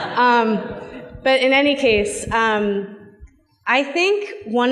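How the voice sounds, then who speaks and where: A woman speaks with an American accent. Noticeable background noise can be heard. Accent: slight Boston accent, shows when relaxed. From Boston. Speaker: corporate public policy executive. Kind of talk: panel discussion.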